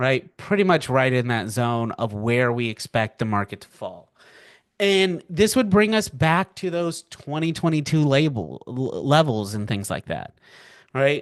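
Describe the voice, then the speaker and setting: Fairly slow, a man talks in a fairly high voice with very wide pitch swings. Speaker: financial markets educator. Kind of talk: live webinar presentation. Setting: webinar from home. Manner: casual, filler-heavy.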